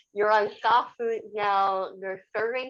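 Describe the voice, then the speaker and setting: A woman's ordinary speaking voice, fairly high in pitch, at a fairly slow pace over a quiet background. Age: 30s. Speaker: equity, diversity and inclusion worker. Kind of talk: podcast interview answer.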